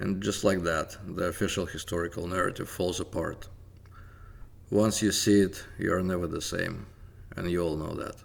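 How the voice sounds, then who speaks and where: With a Russian accent, a man talks at a moderate pace in a very deep, low pitch and fairly even intonation. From Soviet Union. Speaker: independent history researcher. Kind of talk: scripted narration.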